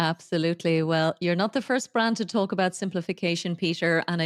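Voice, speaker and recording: With an Irish accent, a woman talks at a fairly quick pace, the sound dry and close with no echo and the recording very clean against a silent background. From Ireland. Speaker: podcast host. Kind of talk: interview.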